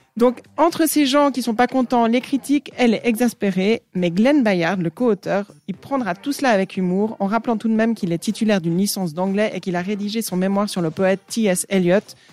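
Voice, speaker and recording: A woman talks at a fairly quick pace with hardly any pauses. Her medium pitch shows ordinary variation, in a dry, close sound with no echo. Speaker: radio columnist. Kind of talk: radio chronicle, playful DJ patter. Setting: radio studio. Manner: animated, jokey, bantering with co-host.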